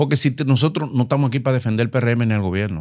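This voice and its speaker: A man speaks in an animated tone. The background is quiet. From Dominican Republic. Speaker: co-host; podcast host. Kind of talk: interview. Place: studio. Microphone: studio mic.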